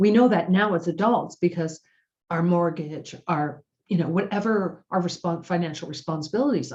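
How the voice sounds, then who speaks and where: A woman talks at a moderate pace in a somewhat breathy voice, her pitch varying in an ordinary way. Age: 60s. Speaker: self-help video host. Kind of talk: motivational talk. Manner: casual, conversational with hesitations.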